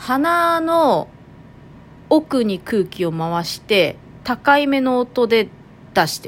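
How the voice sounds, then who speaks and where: Very slowly and with long, frequent pauses, a woman speaks at a high pitch, her voice making very wide pitch swings and big swings in loudness. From Toyama, Japan (Nanto). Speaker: podcast host. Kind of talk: casual monologue.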